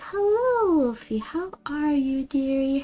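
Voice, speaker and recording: A put-on character voice, female-sounding and high-pitched, at a fairly slow pace. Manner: sweet, doting.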